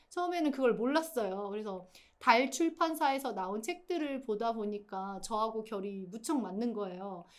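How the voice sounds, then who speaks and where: At a moderate pace and fairly high pitch, a woman speaks with lively intonation amid audible room echo. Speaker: writer teaching a writing course. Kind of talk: lecture.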